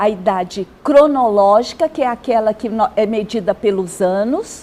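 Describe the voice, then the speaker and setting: With a normal speaking voice and ordinary pitch variation, a woman talks at a fairly high pitch. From Brazil. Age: 60s. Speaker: social worker and gerontologist. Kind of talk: TV interview. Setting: TV studio.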